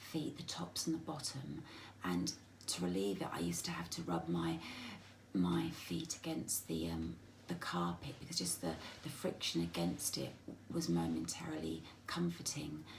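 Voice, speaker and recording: With an English accent, the speaker keeps a moderate pace broken by long, frequent pauses. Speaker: vlogger with a spinal condition. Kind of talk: personal video diary. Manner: halting.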